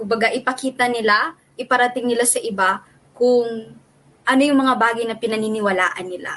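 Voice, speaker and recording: The delivery comes at a fairly slow pace. Intonation stays fairly even. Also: woman. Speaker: returned missionary. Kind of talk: casual chat.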